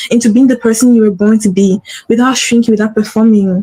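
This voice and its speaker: In a non-native accent, a woman talks at a very fast pace. Her tone is animated and her pitch fairly high. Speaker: podcast host and business coach. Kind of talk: solo livestream podcast talk. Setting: livestream. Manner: animated, repetitive.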